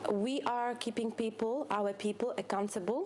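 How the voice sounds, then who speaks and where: A fairly high-pitched woman's voice at a fairly slow pace with ordinary pitch variation, amid noticeable background noise. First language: not English. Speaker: CrossFit coach. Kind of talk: podcast discussion. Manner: halting.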